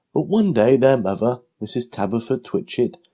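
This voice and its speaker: Speaking at a fairly slow pace with a British accent, a man with a dark, mellow tone swings his pitch very widely. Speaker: audiobook narrator. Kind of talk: children's bedtime story reading.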